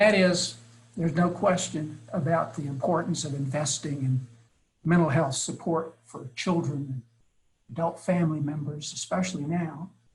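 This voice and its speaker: With an unremarkable speaking voice, a man talks at a moderate pace, fairly high in pitch, with fairly even intonation. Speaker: early childhood education expert presenter. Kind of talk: webinar presentation. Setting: webinar.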